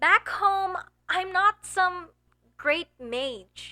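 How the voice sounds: A woman's put-on character voice at an extremely high pitch, bright and sharp in tone, with lively intonation and a very slow pace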